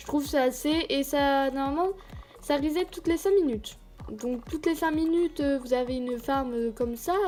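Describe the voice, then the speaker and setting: With music in the background, a woman speaks at a moderate pace in a high pitch with ordinary pitch variation. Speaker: gaming youtuber. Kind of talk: gameplay commentary. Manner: stuttering today; hesitant, many fillers.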